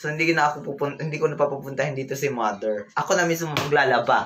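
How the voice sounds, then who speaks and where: This man's fairly high voice races along at a very fast clip. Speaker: vlogger. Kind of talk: casual livestream chat. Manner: loud.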